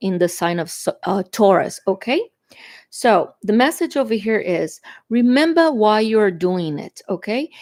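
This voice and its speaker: A woman speaks fairly slowly in a fairly high voice with a Brazilian Portuguese accent. The recording is very clean, with a silent background and a dry, close sound with no echo. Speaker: tarot reader. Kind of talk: tarot reading. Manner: halting, with fillers.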